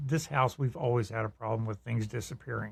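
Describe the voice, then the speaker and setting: There is a somewhat breathy quality to this man's speech. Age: 70s. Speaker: podcast co-host. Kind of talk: casual chat.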